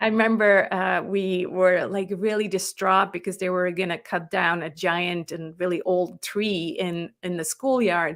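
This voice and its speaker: A woman with a non-native accent, fairly even intonation and hardly any pauses. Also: medium pitch for a woman, fairly slow pace. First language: not English. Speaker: business coach and author. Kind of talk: interview conversation. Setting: live online interview.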